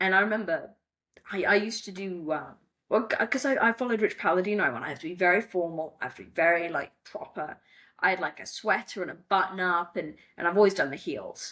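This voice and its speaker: In an English accent, a woman speaks at a very fast pace with a bright, sharp tone and ordinary pitch variation. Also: medium pitch for a woman. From England. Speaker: wrestling ring announcer. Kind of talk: interview. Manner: conversational, many fillers.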